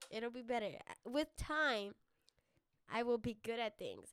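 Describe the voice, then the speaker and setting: Loud and at a moderate pace, a woman with an American accent speaks at a high pitch with ordinary pitch variation. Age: 20s. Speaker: podcast host, college student. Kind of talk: casual solo chat. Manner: rambling, filler-heavy.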